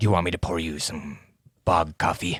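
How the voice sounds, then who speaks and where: A man's put-on character voice, raspy and very deep, at a fairly quick pace. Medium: actual play. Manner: dry, offhand.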